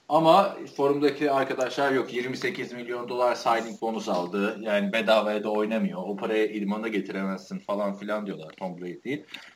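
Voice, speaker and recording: Against noticeable background noise, a man speaks at a moderate pace with hardly any pauses, using a medium pitch and ordinary pitch variation. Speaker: podcast host. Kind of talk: casual chat.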